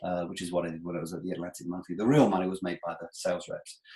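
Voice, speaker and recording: A man speaks at a very fast pace. His voice is very deep and low. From England. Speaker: sports sponsorship consultant. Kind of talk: webinar presentation. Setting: online webinar with screen share. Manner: conversational, humorous.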